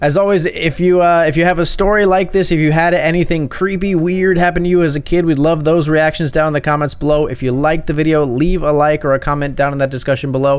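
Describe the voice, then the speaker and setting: Over noticeable background noise, a man with a fairly high pitch talks very fast with hardly any pauses, his loudness very even and his intonation fairly even. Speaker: Reddit story narrator. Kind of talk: scripted narration of a Reddit story read aloud. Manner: measured, suspenseful storytelling pace; conversational, building tension as a child's first-person account.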